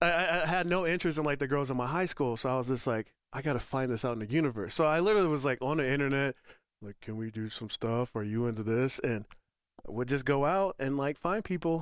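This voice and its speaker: An American-accented man speaks at a very fast pace with a fairly high pitch and lively intonation. The recording is very clean, with a silent background. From Northern Colorado. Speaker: retired army veteran, lifestyle center director. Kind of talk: podcast interview.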